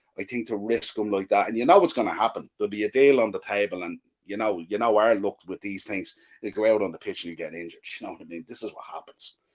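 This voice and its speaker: A man with an Irish accent speaks very fast at a fairly low pitch, with ordinary pitch variation and big swings in loudness, in a dry, close sound with no echo. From Ireland. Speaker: football podcaster. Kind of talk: casual chat.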